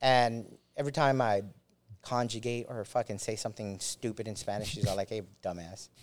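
This man has an unremarkable speaking voice with an American accent, medium in pitch and fairly even in intonation. He talks at a fairly quick pace in a very clean recording with a silent background. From Los Angeles, US, Mexican heritage. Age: 40s. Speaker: army veteran. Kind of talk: casual interview storytelling. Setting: studio.

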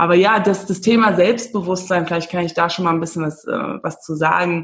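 Somewhat breathy and fairly low in pitch, a woman talks at a fairly quick pace with fairly even intonation. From Namibia. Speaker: confidence coach and podcaster. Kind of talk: casual interview chat.

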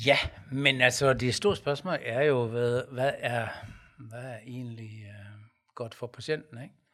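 At a very slow pace, a man with a medium pitch and a bright, sharp tone speaks with fairly even intonation and big swings in loudness. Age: 50s. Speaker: pastor and podcast co-host. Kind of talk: casual debate.

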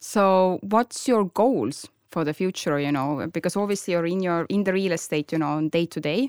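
With a strong Estonian accent, a woman of fairly low pitch speaks at a moderate pace with lively intonation, recorded dry and close with no echo in a very clean recording with a silent background. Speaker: podcast host and property investor. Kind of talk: casual chat. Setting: studio. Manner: hesitant, many fillers.

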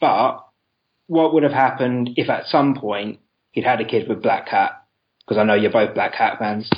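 In a British accent, a man speaks at a moderate pace and medium pitch with ordinary pitch variation. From England, London. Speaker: caller. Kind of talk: casual chat. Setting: call-in. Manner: loud.

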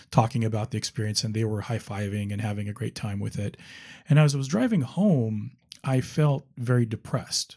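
A man's somewhat breathy, dark and mellow voice at a medium pitch and fairly quick pace, on a very clean recording with a silent background. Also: ordinary pitch variation. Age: 50s. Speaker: attorney sharing recovery story. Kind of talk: interview testimony.

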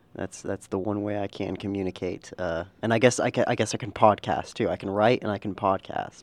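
A man's normal speaking voice, fairly low in pitch, at a fairly quick pace with fairly even intonation, hardly any pauses, and a dry, close sound with no echo. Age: 20s. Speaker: newspaper reporter. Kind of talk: casual chat.

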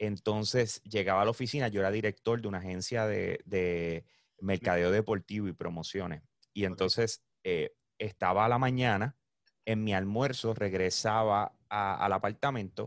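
On a very clean recording with a silent background and a dry, close sound with no echo, a man speaks in a plain, everyday voice at a moderate pace, his pitch fairly low and his intonation fairly even. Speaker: esports and gaming event organizer. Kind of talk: casual chat.

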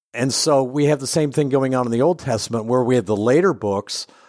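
In a very clean recording with a silent background, a man with a Midwestern American accent speaks at medium pitch with ordinary pitch variation. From Ohio, US Midwest. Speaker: theology professor. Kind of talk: interview. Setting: in person at a conference.

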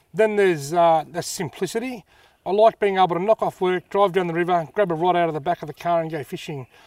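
With an Australian accent, a man talks at a very fast pace in a high pitch, the sound dry and close with no echo and the recording very clean against a silent background. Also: ordinary pitch variation. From north-east Victoria, Australia. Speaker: fishing YouTuber. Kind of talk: casual interview. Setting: outdoors.

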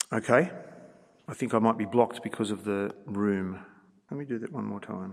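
A fairly low-pitched man speaks at a moderate pace with ordinary pitch variation, big swings in loudness, and long, frequent pauses. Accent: Australian. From Australia. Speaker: veterinary researcher and conference speaker. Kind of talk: conference lecture. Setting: conference stage with audience.

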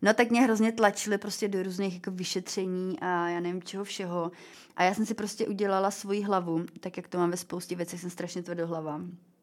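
Her medium pitch and fairly even intonation carry a woman's normal speaking voice at a moderate pace. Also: very clean recording, silent background. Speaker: former fashion model and cancer survivor. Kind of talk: interview. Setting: studio.

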